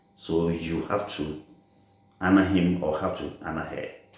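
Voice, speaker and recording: A man's voice carries audible room echo. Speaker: religious teacher. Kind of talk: sermon. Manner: slow.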